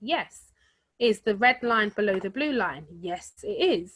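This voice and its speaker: On a very clean recording with a silent background, a woman speaks at a fairly slow pace and fairly high pitch, with a bright, sharp tone and lively intonation. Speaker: forex trading trainer. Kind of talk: tutorial.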